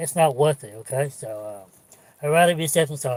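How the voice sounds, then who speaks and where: This man speaks at a moderate pace with lively intonation and a fairly high, somewhat breathy voice. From China. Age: 50s. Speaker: vlogger living in his car. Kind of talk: livestream chat. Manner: halting, repetitive.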